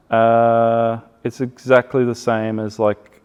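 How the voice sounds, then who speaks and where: A man with an Australian accent talks at a medium pitch. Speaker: outdoor gear business owner. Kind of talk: casual chat.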